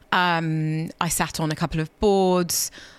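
A woman speaks with a London accent in a very clean recording with a silent background. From London, of Ghanaian parents. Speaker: former wealth lawyer turned campaigner. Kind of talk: interview. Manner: halting, repeats words.

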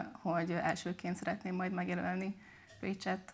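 A woman talks at a fairly quick pace with a fairly low pitch. Her intonation stays monotone and flat. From southern Hungary, Szekszárd. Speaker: medical student and mentor. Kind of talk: interview. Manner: hesitant with frequent word repetitions.

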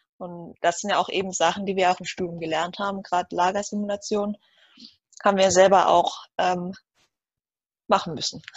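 A woman speaks at a moderate pace in a flat monotone. She leaves long, frequent pauses. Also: medium pitch for a woman. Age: 20s. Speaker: student. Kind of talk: interview.

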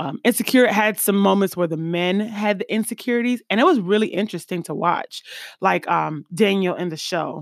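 a plain, everyday voice with an American accent moves at a moderate pace with ordinary pitch variation, recorded very cleanly against a silent background with a dry, close sound with no echo. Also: woman, medium pitch for a woman. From US East Coast, then Midwest. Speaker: podcast host. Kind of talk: casual monologue on live stream. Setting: recorded on Facebook Live. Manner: casual, filler-heavy.

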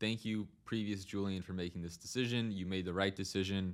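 A man's very deep, low voice with fairly even intonation, on a very clean recording with a silent background. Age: 20s. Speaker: podcaster. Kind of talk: casual monologue. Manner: frequent fillers and hesitations.

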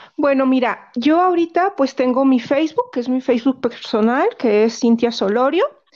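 Ordinary pitch variation, very even loudness and hardly any pauses. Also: woman, high pitch for a woman, moderate pace. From Mexico, Guanajuato. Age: 40s. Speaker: essential oils seller and massage therapist. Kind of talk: casual interview.

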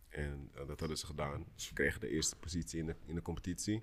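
A man with a very deep, low pitch speaks at a moderate pace. His intonation stays fairly even. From Netherlands, Amsterdam Zuidoost. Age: 30s. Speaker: professional basketball player. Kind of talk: casual chat.

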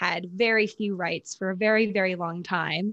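A woman speaks with a Mid-Atlantic accent at a medium pitch. Her intonation stays fairly even over a quiet background. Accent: American, Mid-Atlantic. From US, Maryland. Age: 20s. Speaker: social media creator and podcaster. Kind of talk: casual interview chat.

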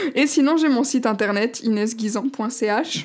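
A woman talks in a fairly high pitch. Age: 20s. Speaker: life coach and podcaster. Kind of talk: casual solo podcast monologue. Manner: hesitant, many fillers.

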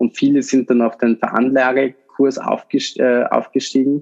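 A man speaks at a moderate speed. The audio is dry and close, without any echo. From Austria, Vorarlberg. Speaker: podcast host, startup founder. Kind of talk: casual chat. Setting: studio, sitting across from co-host.

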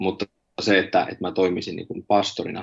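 A man talks at a fairly quick pace. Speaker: pastor. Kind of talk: interview about personal faith. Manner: halting, many filler words.

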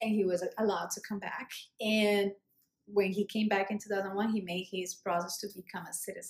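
A woman with a Colombian accent speaks at medium pitch in a monotone, flat intonation. Her voice is somewhat breathy. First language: Spanish. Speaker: immigrant sharing her life story. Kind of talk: casual interview conversation. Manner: hesitant, many fillers.

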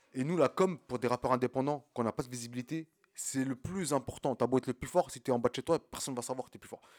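A man talks at a very fast pace and medium pitch, his loudness swinging widely. The sound is dry and close with no echo, on a very clean recording with a silent background. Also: ordinary pitch variation. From France, Champigny (Val-de-Marne, Paris suburbs). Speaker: independent rapper. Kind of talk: casual chat.

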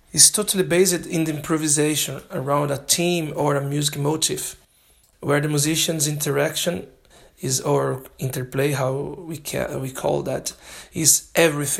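With a Brazilian accent, a man talks at a moderate pace in a fairly high pitch, keeping his intonation fairly even. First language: Portuguese. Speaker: jazz drummer and language student. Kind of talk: prepared self-recorded monologue. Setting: self-made recording sent in. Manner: halting.

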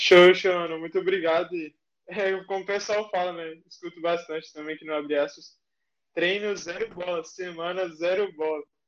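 This man's voice sits high, and his intonation is monotone and flat. He keeps a moderate pace while his loudness swings widely. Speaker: audience member asking a question. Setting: live video call.

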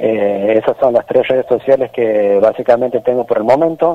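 Using ordinary pitch variation, a man speaks at a medium pitch and a moderate pace. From Santiago del Estero, Argentina. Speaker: folk musician. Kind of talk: radio interview.

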